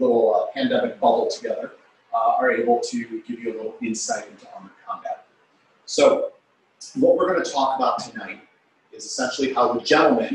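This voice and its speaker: With audible room echo and light background noise, a man speaks at a fairly quick pace with big swings in loudness. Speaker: historical martial arts instructor. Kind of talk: lecture presentation. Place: hall. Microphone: video call.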